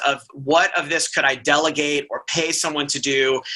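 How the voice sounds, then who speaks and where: Noticeable background noise fills the clip. Through it, the man talks. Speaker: pathologist. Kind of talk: casual chat. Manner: fast.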